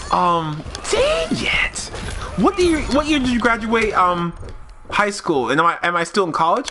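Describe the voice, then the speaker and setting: Over noticeable background noise, a man speaks in a raised, projected, animated voice, high in pitch with very wide pitch swings. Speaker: video game streamer. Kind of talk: casual live stream chat. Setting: live stream. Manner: fast.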